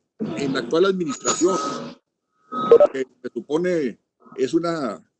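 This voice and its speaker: With music in the background, a man speaks at a fairly slow pace and a high pitch, his intonation lively. The sound is dry and close, with no echo. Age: 70s. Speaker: forum participant on rural policy. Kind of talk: virtual forum statement. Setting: video call.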